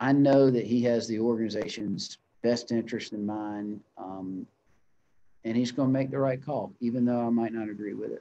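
With a Southern US accent, a man speaks at a moderate pace, his dark, mellow voice keeping a fairly even intonation. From US South (North Carolina). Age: 30s. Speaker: chamber of commerce executive; guest. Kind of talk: interview. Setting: video call. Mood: reflective, earnest. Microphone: video call.

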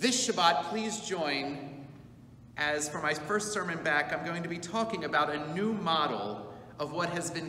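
A man talks at a moderate pace with lively intonation. Some room echo is audible, and light noise sits in the background. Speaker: congregation rabbi. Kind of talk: announcement to congregation. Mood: warm, upbeat. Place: church. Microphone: camera far.

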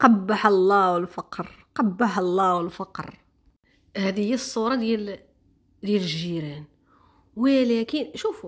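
A woman speaks at a fairly high pitch with lively intonation and an animated tone. Her voice is somewhat breathy. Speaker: social media commentator. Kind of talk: casual vlog commentary.

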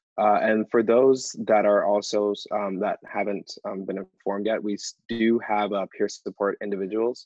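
A man with a Canadian accent speaks at a moderate pace in a fairly low, monotone voice with flat intonation, the sound dry with no echo and the background quiet. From Ontario, Canada. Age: young. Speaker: youth advocate and co-host; co-host. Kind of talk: event hosting. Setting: video call. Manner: halting. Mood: calm, hesitant with fillers. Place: home room. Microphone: earbuds.

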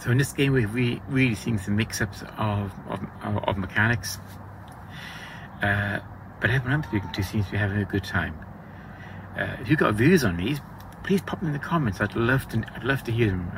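Over noticeable background noise, a man talks at a fairly quick pace in a fairly low pitch. His pitch moves in an ordinary way, and the sound is dry with no echo. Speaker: event vlogger. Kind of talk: casual vlog chat. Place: tent. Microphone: phone near.

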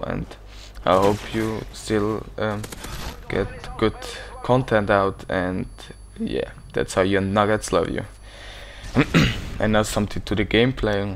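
With noticeable background noise, a man speaks at a fairly slow pace and fairly low pitch, with fairly even intonation and long, frequent pauses. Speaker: gaming commentator. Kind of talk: gameplay commentary. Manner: casual, hesitant.

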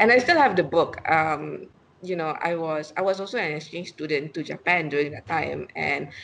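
Over light background noise, a woman talks at a moderate pace with vocal fry and a very deep, low pitch. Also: ordinary pitch variation. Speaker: remote guest, finance blogger. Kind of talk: interview answer. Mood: friendly, laughing at times. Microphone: video call.

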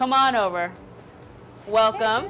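Over music in the background, a woman talks at a moderate pace with ordinary pitch variation. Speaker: cooking show host. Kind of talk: show host intro. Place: kitchen. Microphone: lapel.

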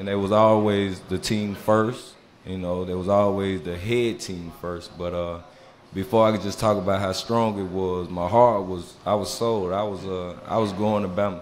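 With a Mississippi accent and a fairly low pitch, a man speaks at a moderate pace in a monotone, flat intonation over light background noise. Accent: Southern US (Mississippi). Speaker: former college football player; podcast guest. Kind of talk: casual interview. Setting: live show on stage in a bar. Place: bar.

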